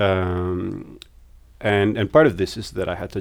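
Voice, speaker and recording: A man speaks with a very deep, low pitch and fairly even intonation on a very clean recording with a silent background. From Netherlands, Amsterdam. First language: Dutch. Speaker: psychology researcher. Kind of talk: interview. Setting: recorded at a conference. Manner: halting.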